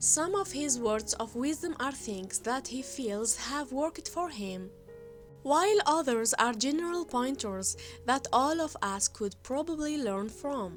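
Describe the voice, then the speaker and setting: Against music in the background, a high-pitched woman speaks fairly slowly with very wide pitch swings. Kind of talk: documentary-style fact narration.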